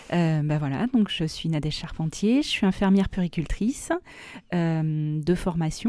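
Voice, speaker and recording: Against a quiet background, a woman speaks at a fairly slow pace with a dark, mellow tone and fairly low pitch. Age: 40s. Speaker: pediatric nurse. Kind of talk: radio interview. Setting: radio studio. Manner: hesitant, many filler sounds.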